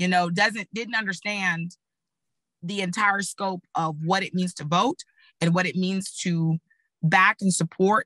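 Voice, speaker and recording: With an American accent, a woman talks at a fairly slow pace and fairly even intonation. Her tone is bright and sharp, and the sound is dry and close with no echo. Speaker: political communication panelist, former candidate. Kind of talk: panel discussion.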